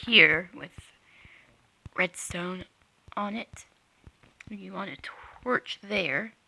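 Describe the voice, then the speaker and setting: Very slowly, a whispered voice comes through noticeable background noise, broken by long, frequent pauses. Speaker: Minecraft redstone builder. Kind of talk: game tutorial narration. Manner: hesitant, casual.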